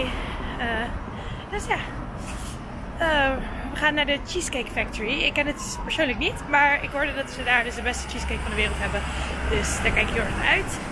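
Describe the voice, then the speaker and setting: Fairly quick speech broken by long, frequent pauses under loud background noise. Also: woman. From Amsterdam, Netherlands. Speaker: exchange student, vlogger. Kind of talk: casual vlog talk to camera. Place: street. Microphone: phone near.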